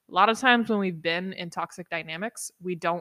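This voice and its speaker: A woman speaks at a fairly quick pace with a bright, sharp tone, a fairly low pitch and ordinary pitch variation. The sound is dry and close with no echo, on a very clean recording with a silent background. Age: 20s. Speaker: solo podcaster on relationships. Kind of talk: casual monologue. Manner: animated.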